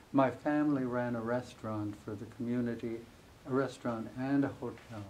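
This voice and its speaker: A man with an American accent speaks at a moderate pace in a medium-pitched, monotone, flat voice, with audible room echo. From US Midwest, Amana Colonies, Iowa. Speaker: author. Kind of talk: interview before a live audience.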